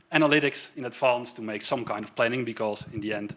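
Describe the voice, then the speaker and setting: Speaking at a very fast pace, a man talks with a Dutch accent. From Netherlands, Amsterdam. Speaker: software developer, tech speaker. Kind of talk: tech talk at a meetup.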